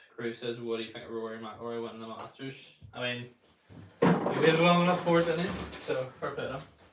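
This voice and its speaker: A man's medium-pitched voice with a Northern Irish accent at a very fast pace, broken by long, frequent pauses, with big swings in loudness, audible room echo and noticeable background noise. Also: ordinary pitch variation. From Northern Ireland. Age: 20s. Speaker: golf streamer. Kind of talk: casual live stream chat.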